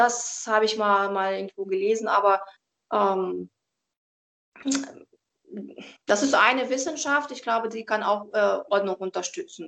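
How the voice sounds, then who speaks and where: Speaking fairly slowly with a Russian accent, a woman with a fairly high pitch and ordinary pitch variation leaves long, frequent pauses. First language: Russian (speaking German). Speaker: professional organizer and tidying coach. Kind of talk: interview. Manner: calm, reserved.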